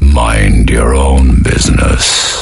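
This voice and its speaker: A man puts on a growling character voice, very deep and low. Clear music plays in the background. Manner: menacing, curt.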